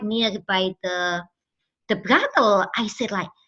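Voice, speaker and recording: A woman with an Indonesian accent speaks very slowly in a bright, sharp tone, her pitch varying in an ordinary way against a quiet background. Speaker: trafficking survivor and campaigner. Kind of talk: testimony. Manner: halting, many fillers.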